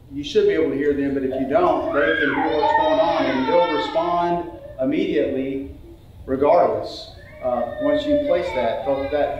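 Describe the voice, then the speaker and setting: Both noticeable background noise and audible room echo are present in this clip. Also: man. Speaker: preacher. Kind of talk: sermon. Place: church. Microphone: camera far.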